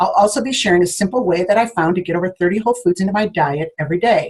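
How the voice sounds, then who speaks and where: A woman's somewhat breathy voice with lively intonation, at a very fast pace. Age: 60s. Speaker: network marketing team leader. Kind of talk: training talk to a group.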